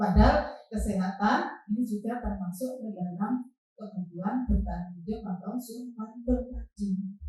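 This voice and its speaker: In a somewhat breathy, dark, mellow tone, a woman speaks at a medium pitch and a fairly slow pace. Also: ordinary pitch variation, hardly any pauses. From East Java, Lamongan. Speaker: teacher. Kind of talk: staff training presentation.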